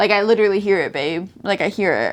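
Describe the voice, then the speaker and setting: A woman's medium-pitched voice with a slight Southern US accent and ordinary pitch variation. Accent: slight Southern drawl. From US South. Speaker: vlogger. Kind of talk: casual chat. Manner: animated.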